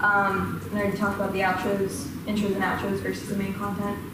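Amid loud background noise and audible room echo, a woman talks at a fairly quick pace. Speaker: presenter. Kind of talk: lecture. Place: classroom. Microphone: camera far.

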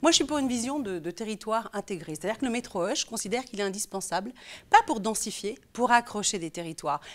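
A woman at a fairly high pitch, very fast in pace and lively in intonation. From France, Lyon; France. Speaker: local politician. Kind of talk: political interview. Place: studio. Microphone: lapel.

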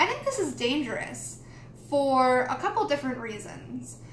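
Light background noise and audible room echo are both present in this recording. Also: woman. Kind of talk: casual tutorial explanation. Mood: calm, cautionary. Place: home room.

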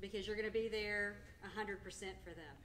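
Light noise sits in the background. The speaker is a woman. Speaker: clinic representative and meeting moderator; meeting moderator. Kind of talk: moderating a live support group meeting. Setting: hotel meeting room with live audience. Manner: loud. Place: meeting room. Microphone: camera far.

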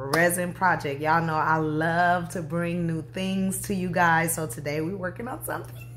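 A woman talks with a very deep, low pitch. Light background noise runs underneath. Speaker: craft channel host. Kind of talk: casual vlog chat. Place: home room. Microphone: phone near.

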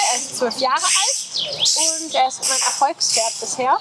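A woman speaks with lively intonation. Loud background noise runs behind her. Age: 20s. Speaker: rider. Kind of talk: casual interview. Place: open country.

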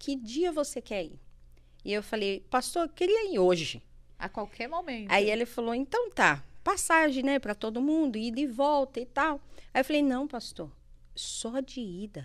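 A woman's high voice at a moderate pace with very wide pitch swings, on a very clean recording with a silent background. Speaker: life coach. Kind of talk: testimony. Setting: studio.

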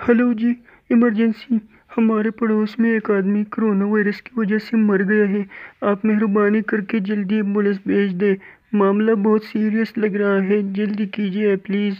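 This is a cartoonish character voice with monotone, flat intonation. It moves at a moderate pace. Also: man, high pitch for a man. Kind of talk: comic cartoon dub. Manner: urgent, pleading.

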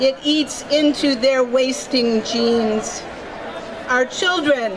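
A woman speaking at a very slow pace over crowd noise in the background. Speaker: emcee and poem reader. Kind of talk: poem reading at rally. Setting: outdoor rally stage. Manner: solemn, dramatic, measured. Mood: earnest, warning tone. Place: street. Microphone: podium.

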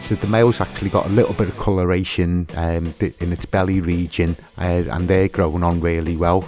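A man with a very deep, low voice, at a moderate pace, over clear background music. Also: dry sound with no echo. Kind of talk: casual vlog commentary. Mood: pleased, relaxed. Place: home room. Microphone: phone near.

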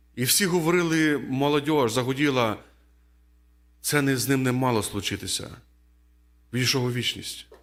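A man speaks at a medium pitch and fairly slow pace with ordinary pitch variation, leaving long, frequent pauses. Audible room echo surrounds his voice. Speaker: preacher. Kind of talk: sermon.

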